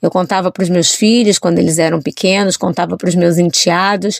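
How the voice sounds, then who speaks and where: Recorded with a dry, close sound and no echo, a woman speaks in a plain, everyday voice. Her pitch is medium and her intonation fairly even. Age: 40s. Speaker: journalist and children's author. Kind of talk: interview.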